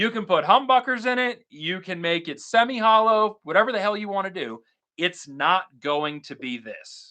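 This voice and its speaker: Raised and projected, a man's high-pitched, bright, sharp voice moves at a moderate pace with an energetic tone, lively intonation, and big swings in loudness. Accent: American. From Florida, Tampa Bay. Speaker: guitar YouTuber and live streamer. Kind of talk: casual live stream chat. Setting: live stream at home.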